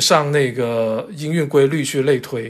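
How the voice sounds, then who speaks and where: Here is a man with an unremarkable speaking voice. His pitch is fairly high and his pace fairly slow. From China, Zhanjiang, western Guangdong. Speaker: character encoding standards expert, publisher. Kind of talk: casual interview chat. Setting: remote virtual studio.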